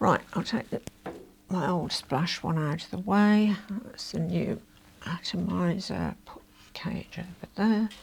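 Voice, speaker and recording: Using a put-on character voice at medium pitch, a woman mumbles at a fairly slow pace with long, frequent pauses, ordinary pitch variation and big swings in loudness. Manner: mumbling to self.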